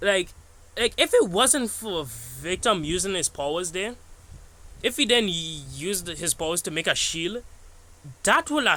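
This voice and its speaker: Pitch leaps up and down very widely here. The voice is raised and projected. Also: man. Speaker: YouTuber recapping an animation episode. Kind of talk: casual video commentary. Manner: halting, stuttering; casual, filler-heavy.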